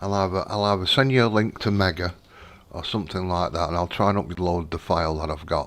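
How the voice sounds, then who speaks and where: A quiet man's voice with a British accent, very deep and low in pitch. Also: ordinary pitch variation, fairly quick pace. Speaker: gaming live streamer. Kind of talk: gameplay live stream chat. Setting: home at night, live stream. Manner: talking quietly.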